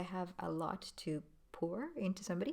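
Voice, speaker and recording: A woman talks in a normal speaking voice at a medium pitch with ordinary pitch variation and a moderate pace. The recording is very clean, with a silent background. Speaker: trainer. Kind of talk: vlog.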